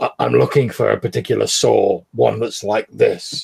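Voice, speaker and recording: With a raspy, put-on character voice, a man speaks at a moderate pace in a dry, close sound with no echo. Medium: actual play. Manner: halting, stammering.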